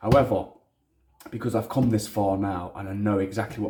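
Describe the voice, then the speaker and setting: A man with a strong Leicester accent talks at a fairly quick pace in a fairly low, somewhat breathy voice. His intonation is fairly even, and the recording is very clean with a silent background. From Leicester, England. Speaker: hobbyist maker. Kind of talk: casual vlog. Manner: casual, frequent swearing, rambling.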